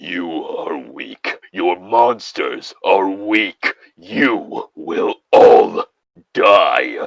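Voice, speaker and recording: His words come out very slowly. This man is doing a put-on character voice. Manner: threatening.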